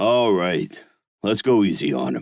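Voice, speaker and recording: Putting on a character voice, a man speaks at a moderate pace, raspy and fairly low, with very wide pitch swings. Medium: read story. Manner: wry, teasing.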